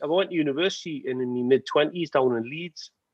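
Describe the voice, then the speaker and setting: A man's fairly high-pitched voice, an ordinary speaking voice, at a moderate pace with lively intonation. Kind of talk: casual chat.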